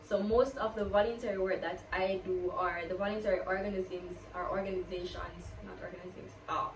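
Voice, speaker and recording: A woman with a Jamaican accent speaks in an animated tone at a moderate pace and medium pitch. Noticeable background noise and audible room echo surround her voice. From Jamaica, Kingston. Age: 20s. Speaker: university student and vlogger. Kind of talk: get-to-know-me Q&A vlog.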